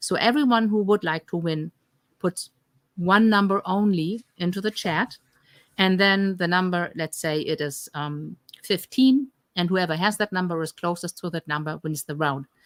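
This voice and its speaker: This woman talks at a moderate pace in a fairly low pitch with ordinary pitch variation. The sound is dry and close with no echo, on a very clean recording with a silent background. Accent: German. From Germany. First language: German. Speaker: health coach. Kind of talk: live stream Q&A. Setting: live stream.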